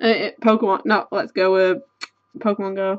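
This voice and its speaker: Against a quiet background, a woman speaks with a British accent. Her pace is fairly slow and her pitch variation ordinary. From UK. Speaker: YouTuber. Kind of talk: casual chat, card opening. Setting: webcam at home. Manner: rambling, casual. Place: home room.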